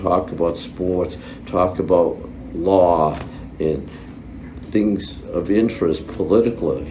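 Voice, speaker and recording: Audible room echo and noticeable background noise surround a man whose very deep, low voice keeps a fairly even intonation. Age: 70s. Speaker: brain injury survivor. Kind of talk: interview testimony. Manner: halting.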